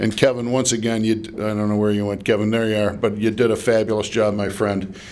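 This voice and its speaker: A man talks at a medium pitch. Noticeable background noise and audible room echo are present. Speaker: nonprofit executive. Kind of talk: dedication speech.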